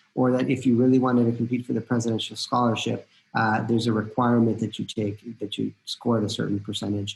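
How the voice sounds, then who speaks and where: Talking at a very fast clip with hardly any pauses, a man with a Spanish accent keeps a medium pitch, a flat monotone delivery, and a somewhat breathy sound. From Costa Rica. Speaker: college admissions dean. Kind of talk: informational webinar talk. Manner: hesitant, many fillers.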